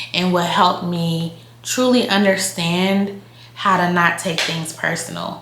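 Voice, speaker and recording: A woman speaks at a very slow pace with a fairly low pitch. Noticeable background noise sits behind her. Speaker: lifestyle YouTuber. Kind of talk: casual talk to camera. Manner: casual, conversational.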